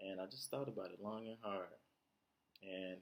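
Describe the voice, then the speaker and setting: Soft-spoken delivery in a flat, monotone intonation. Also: man. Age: 20s. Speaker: vlogger. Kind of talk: personal monologue. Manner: halting.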